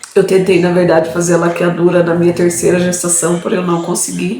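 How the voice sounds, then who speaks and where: A woman with a fairly low pitch is heard amid audible room echo and noticeable background noise. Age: 30s. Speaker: vlogger. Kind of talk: personal testimony. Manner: casual, hesitant.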